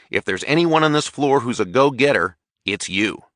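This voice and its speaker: In a growling, put-on character voice, a man speaks at medium pitch and a fairly quick pace with lively intonation over a quiet background. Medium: read story. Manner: relaxed, easy.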